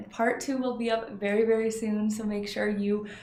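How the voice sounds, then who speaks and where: A woman with a Canadian accent at a moderate pace, with audible room echo. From Canada. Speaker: tarot reader and psychic. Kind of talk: casual vlog show-and-tell.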